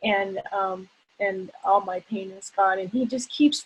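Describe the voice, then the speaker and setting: This woman has an ordinary speaking voice, talking at a fairly slow pace with fairly even intonation. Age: 60s. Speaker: workshop participant, yoga student. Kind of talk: group sharing on a video call.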